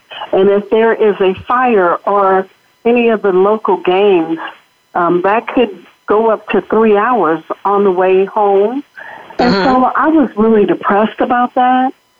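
A woman speaks with an American accent in a plain, everyday voice at a medium pitch. Her pace is fairly slow, with ordinary pitch variation and very even loudness. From Los Angeles, US. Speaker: educator and nonprofit CEO. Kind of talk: interview testimony. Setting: studio.

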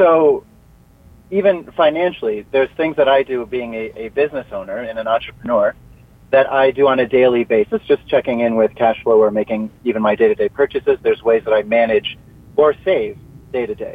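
With a normal speaking voice and lively intonation, a man talks at a fairly quick pace. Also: medium pitch for a man. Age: 30s. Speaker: self-help coach and entrepreneur. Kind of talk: interview. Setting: phone call.

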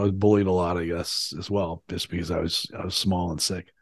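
Over a quiet background, a man with a normal speaking voice talks at a fairly quick pace with fairly even intonation. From Canada, Ontario. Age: 50s. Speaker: CEO coach and suicide-prevention activist. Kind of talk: interview conversation.

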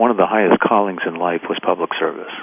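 A man talks with an American accent and a fairly low pitch, using ordinary pitch variation. Noticeable background noise sits behind him. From US Northeast, Boston. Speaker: environmental nonprofit president. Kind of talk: radio interview.

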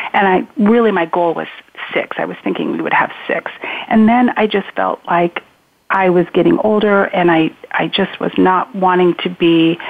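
A woman with an American accent at a moderate pace, with ordinary pitch variation. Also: medium pitch for a woman. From Spokane, Washington. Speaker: adoption professional. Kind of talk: interview. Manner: halting.

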